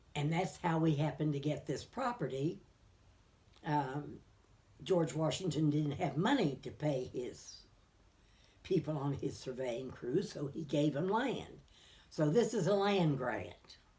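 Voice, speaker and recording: With a very deep, low pitch and a dark, mellow, somewhat breathy tone, a woman speaks at a fairly slow pace with lively intonation and long, frequent pauses. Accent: West Virginia. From US Appalachia, Greenbrier County, West Virginia. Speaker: local elder sharing memories. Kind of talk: oral history interview. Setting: living room at home.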